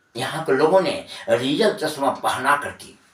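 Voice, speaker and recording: Raising and projecting his voice, a man speaks with very wide pitch swings. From Bihar, India. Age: 60s. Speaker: Hindi teacher. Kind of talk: lecture explaining a literary text to students.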